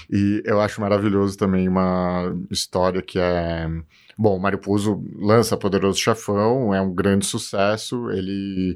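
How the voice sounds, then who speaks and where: Speaking at a fairly slow pace, a man with a fairly low pitch keeps a monotone, flat intonation on a very clean recording with a silent background. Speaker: film director and cinephile co-host. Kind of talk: casual chat.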